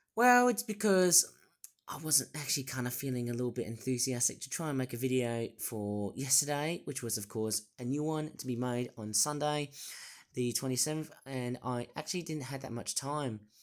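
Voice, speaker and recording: Someone with an Australian accent talks at a moderate pace in a very clean recording with a silent background. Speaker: toy reviewer. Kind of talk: casual talk to camera.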